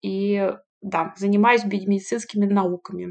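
At a moderate pace, a woman talks in an ordinary speaking voice of medium pitch with ordinary pitch variation. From Russia. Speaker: PhD candidate in medical sciences. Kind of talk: interview.

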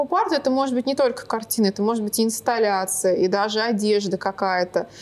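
A woman speaks at a fairly quick pace in a high voice with lively intonation. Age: 20s. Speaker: artist and art teacher. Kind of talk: casual interview.

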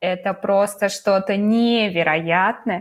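Lively intonation in a medium-pitched female voice. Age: 20s. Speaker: podcast co-host, new mother. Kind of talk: casual chat. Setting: remote call between cities.

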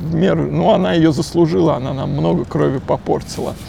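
Fairly slow speech from a man, amid noticeable background noise and audible room echo. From Moscow, Russia. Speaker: novelist. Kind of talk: casual interview. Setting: outdoors. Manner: halting.

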